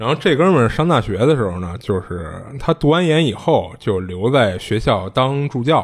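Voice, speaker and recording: A man's medium-pitched voice with very wide pitch swings, a moderate pace and hardly any pauses. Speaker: podcast host. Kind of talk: casual chat, storytelling.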